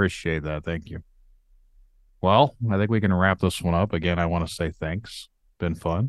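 In an American accent, a man with a very deep, low pitch and ordinary pitch variation speaks at a moderate pace with long, frequent pauses, in a dry, close sound with no echo over a quiet background. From Indiana. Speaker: podcast host. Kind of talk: casual interview chat.

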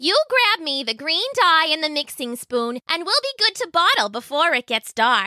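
Putting on a character voice at an extremely high pitch, a woman swings her pitch very widely with hardly any pauses, in a dry, close sound with no echo. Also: moderate pace. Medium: read story.

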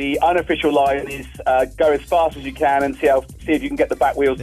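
Over music in the background, a man with a British accent speaks at a fairly quick pace with big swings in loudness. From Britain, living in Houston. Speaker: radio call-in listener.

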